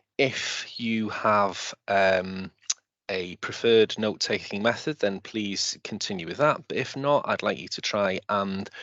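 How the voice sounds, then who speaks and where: A man with a Welsh accent speaks at a fairly slow pace in a fairly low voice, his pitch varying in an ordinary way. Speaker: teacher. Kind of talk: lecture. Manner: halting, many fillers.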